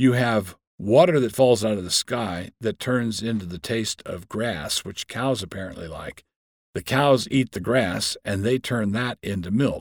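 In a normal speaking voice, a man at medium pitch speaks fairly slowly with ordinary pitch variation and big swings in loudness, on a very clean recording with a silent background. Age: 60s. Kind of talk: teaching monologue.

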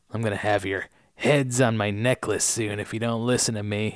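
Here a man uses a put-on character voice at a medium pitch. His pace is moderate. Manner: menacing.

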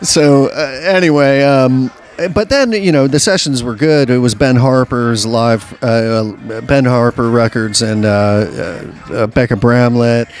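Noticeable background noise sits behind a man talking very slowly at a medium pitch with ordinary pitch variation. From New Orleans. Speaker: recording engineer. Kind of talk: casual chat. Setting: bar.

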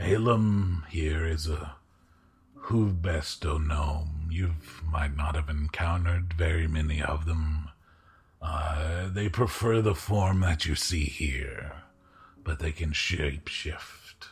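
Using a put-on character voice, a man speaks very deep and low at a fairly slow pace with long, frequent pauses. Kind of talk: archaic formal speech. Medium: actual play. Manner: slow, formal, courteous.

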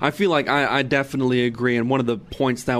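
Speaking at a fairly quick pace, a man with an American accent uses an ordinary speaking voice at a medium pitch. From California. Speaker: radio producer. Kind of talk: casual chat.

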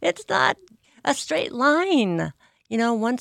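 A woman with a fairly high pitch and an unremarkable speaking voice, at a moderate pace, in a dry, close sound with no echo on a very clean recording with a silent background. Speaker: podcast host. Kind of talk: interview.

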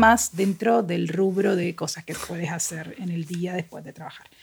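A medium-pitched woman's voice at a moderate pace, with noticeable background noise. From Colombia, Cartagena. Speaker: novelist. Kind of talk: casual chat.

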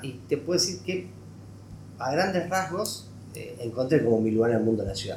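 A man with vocal fry and very wide pitch swings, amid audible room echo. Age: 40s. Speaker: economic journalist. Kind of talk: interview.

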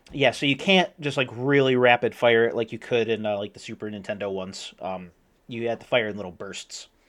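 An unremarkable speaking voice at a fairly quick pace, with ordinary pitch variation, big swings in loudness and a quiet background. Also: man, medium pitch for a man. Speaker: podcast co-host. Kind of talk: casual chat.

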